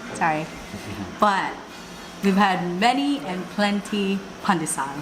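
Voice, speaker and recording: Amid audible room echo and noticeable background noise, a woman with a Visayan Filipino accent speaks at a fairly slow pace, her medium pitch showing ordinary variation. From Philippines, Visayas region. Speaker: local guide. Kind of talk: casual food vlog chat.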